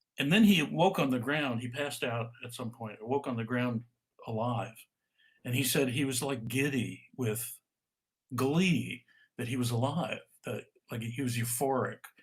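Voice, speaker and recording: Somewhat breathy speech at a moderate pace, ordinary pitch variation, and long, frequent pauses. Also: man, medium pitch for a man. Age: 70s. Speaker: author and stress expert. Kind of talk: interview on a live video call. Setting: video call. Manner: halting, with repeated words.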